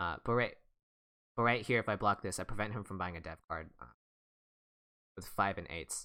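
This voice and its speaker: A man with a fairly low pitch and a bright, sharp tone talks at a fairly quick pace, with long, frequent pauses. His loudness swings widely, and the recording is very clean with a silent background. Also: ordinary pitch variation. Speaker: online board game streamer. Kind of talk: live gameplay stream commentary. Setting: live stream. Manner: fast.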